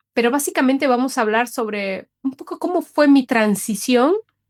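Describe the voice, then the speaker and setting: This woman speaks at a moderate pace in a high voice, with lively intonation. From Bolivia, Cochabamba. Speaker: podcast host and coach. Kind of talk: personal podcast monologue. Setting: solo recording, re-recorded session.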